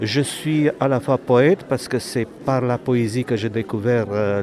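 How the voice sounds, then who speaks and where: In a Romanian accent, a man talks at a fairly slow pace with ordinary pitch variation against noticeable background noise. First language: Romanian (speaking French). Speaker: author and poet. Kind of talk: interview.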